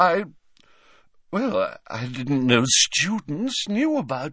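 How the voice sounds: A man's put-on character voice, fairly high-pitched and shrill, fairly bright with a slightly husky edge, big pitch swings and a slow pace, on a very clean recording with a silent background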